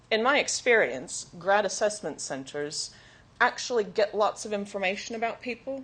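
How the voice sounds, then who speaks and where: A woman at medium pitch speaks with a Southern US accent. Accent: American, Southern. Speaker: recruitment analyst, conference speaker. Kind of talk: conference talk.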